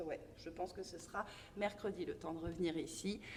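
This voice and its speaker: A woman's voice at a fairly slow pace amid noticeable background noise. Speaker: dance teacher. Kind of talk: tutorial. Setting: dance studio. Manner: halting.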